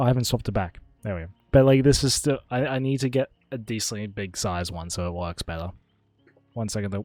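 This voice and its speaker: Music plays behind a man who talks at a very fast pace. His pitch is fairly low, with ordinary variation. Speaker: streamer. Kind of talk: casual chat. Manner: loud.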